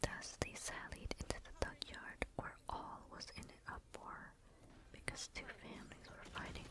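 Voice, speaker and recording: The speaker whispers. Noticeable background noise can be heard. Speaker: ASMR creator. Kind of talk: whispered ASMR book reading. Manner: whispered, soft.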